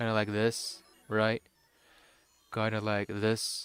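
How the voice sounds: A man's put-on character voice, gravelly and raspy, at a medium pitch and fairly slow pace, flat and monotone over background music.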